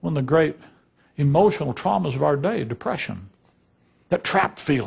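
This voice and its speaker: Very wide pitch swings and vocal fry mark this voice, broken by long, frequent pauses. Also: man, fairly high pitch for a man, moderate pace, quiet background. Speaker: Bible teacher, preacher. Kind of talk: sermon, preaching to a congregation. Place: church.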